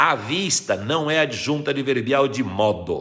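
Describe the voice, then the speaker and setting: A man speaks at a very slow pace. His voice has vocal fry. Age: 60s. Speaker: retired Portuguese grammar teacher. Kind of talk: live stream Q&A lesson. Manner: didactic.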